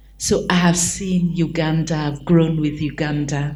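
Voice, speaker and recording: Speaking at a very slow pace, a woman with a fairly low pitch sounds somewhat breathy, her intonation monotone and flat, with audible room echo. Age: 60s. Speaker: consultant. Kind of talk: panel discussion.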